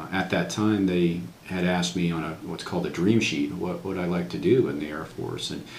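A man with a very deep, low pitch speaks at a fairly quick pace with hardly any pauses and ordinary pitch variation, with audible room echo and light background noise. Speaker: interviewee. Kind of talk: interview answer. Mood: calm, reflective. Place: office.

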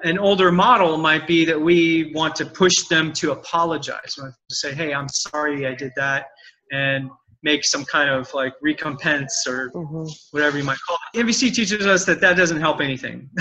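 Here a man talks at a moderate pace with ordinary pitch variation. Light background noise can be heard. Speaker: communication trainer, interview guest. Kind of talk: interview answer. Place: home room. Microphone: video call.

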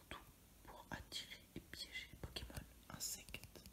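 Whispering at a very slow pace. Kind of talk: ASMR card opening. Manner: whispered.

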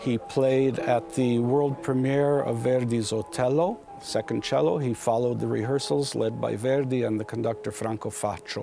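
Over clear background music, a man talks at a moderate pace with hardly any pauses and ordinary pitch variation, in a dry sound with no echo. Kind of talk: interview answer. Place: hall. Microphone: lapel.

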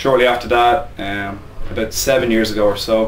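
Audible room echo and light background noise around a man's voice. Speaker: gym head coach. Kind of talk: interview answer. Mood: relaxed, reflective. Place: office.

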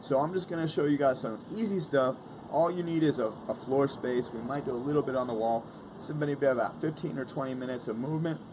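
The speech moves at a fairly quick pace with ordinary pitch variation, and there is noticeable background noise. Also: man. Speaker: fitness vlogger. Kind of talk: casual vlog chat. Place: garden. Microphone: phone near.

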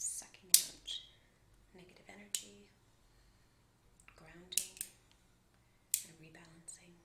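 A woman whispering in a gentle tone at a fairly slow pace, with long, frequent pauses and noticeable background noise. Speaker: reiki practitioner. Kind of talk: ASMR reiki session. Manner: soft-spoken; gentle, relaxing.

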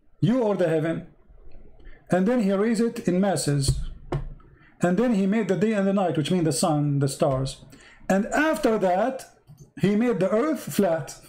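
Pausing often and at length, a man talks at a moderate pace with lively intonation and very even loudness, with audible room echo around him. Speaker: religious debater. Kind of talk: heated debate. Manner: animated.

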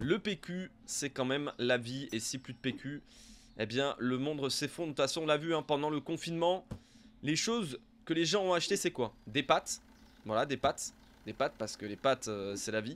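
A man talks at a moderate pace with a slight southern French accent. His voice sits fairly high. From southern France (Montpellier area); southern France. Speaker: gaming YouTuber. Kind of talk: let's play commentary. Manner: casual, hesitant with many fillers. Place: home room.

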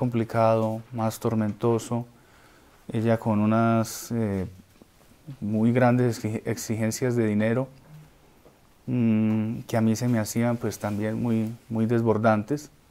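A man's dark, mellow voice at medium pitch, monotone and flat in intonation, at a fairly slow pace. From Colombia. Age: 30s. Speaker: singer; interview guest. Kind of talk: interview. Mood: calm, serious, reflective. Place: home room.

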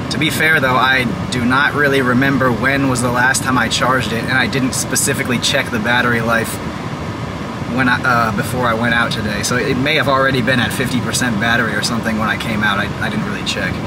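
Talking very fast, a man is heard through loud background noise, his sound dry and free of echo. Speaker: vlogger. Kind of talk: casual vlog chat. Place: car. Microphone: lapel.

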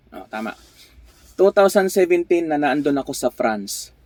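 The voice comes at a very slow pace. The sound is dry and close, with no echo. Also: man. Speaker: vlogger and truck driver. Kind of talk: casual vlog monologue.

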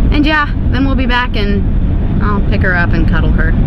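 A woman is speaking over loud background noise. The sound itself is dry, with no echo. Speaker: vlogger. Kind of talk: casual vlog chat. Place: car. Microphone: phone near.

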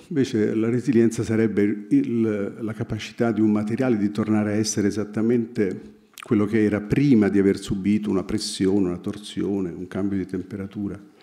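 Over a quiet background, a man speaks at a fairly quick pace. His voice is fairly low and monotone, with flat intonation. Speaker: writer. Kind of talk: literary analysis talk. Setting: stage with audience. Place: hall. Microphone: podium.

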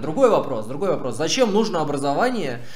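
A man talking at a very fast pace, with audible room echo. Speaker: streamer. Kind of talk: stream commentary answering chat. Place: home room.

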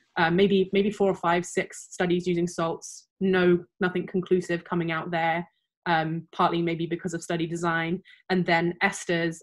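A woman talks at a moderate pace in a fairly low pitch. Her intonation is monotone and flat, and the background is quiet. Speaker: guest. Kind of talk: interview answer. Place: home room.

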